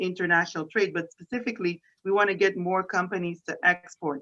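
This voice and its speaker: In a French Canadian accent, a woman talks at a fairly quick pace with hardly any pauses, her medium pitch carrying a bright, sharp tone and fairly even intonation. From Quebec, Canada (Montreal). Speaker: economic development official. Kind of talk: interview.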